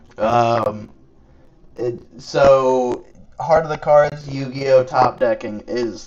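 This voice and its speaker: Noticeable background noise runs under a man speaking at a medium pitch with an American accent. His pitch varies in an ordinary way. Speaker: card game streamer. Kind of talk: live gameplay commentary. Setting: live stream. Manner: casual, chatty.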